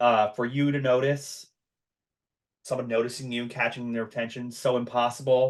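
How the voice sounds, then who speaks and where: A man speaks with an American accent at a medium pitch and a moderate pace. His intonation is monotone and flat against a quiet background. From US, Long Island, New York. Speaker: podcast host. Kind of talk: casual chat.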